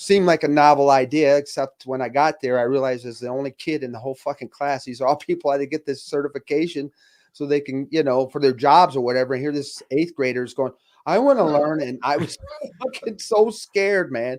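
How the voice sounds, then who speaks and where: A man's fairly high voice in a Michigan accent, with ordinary pitch variation, a dry, close sound with no echo, and a quiet background. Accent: Midwestern US (Michigan). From Flint, Michigan. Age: 50s. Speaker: retired firefighter. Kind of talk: casual interview chat.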